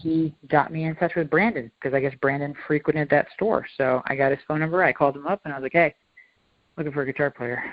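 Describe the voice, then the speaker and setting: Talking at a very fast pace, a man with an American accent keeps a fairly even intonation. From US South, Georgia. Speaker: rock band singer. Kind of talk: interview. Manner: hesitant, many fillers.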